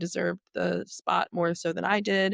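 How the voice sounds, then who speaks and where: A woman with an American accent on a very clean recording with a silent background, dry and close with no echo. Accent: Southern accent, reduced. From Appalachia, southeastern Ohio. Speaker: media executive. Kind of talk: interview.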